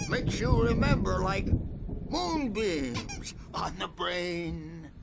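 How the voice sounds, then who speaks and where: A man does a put-on character voice at a very slow pace. Loud background noise fills the recording. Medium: video game. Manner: rambling.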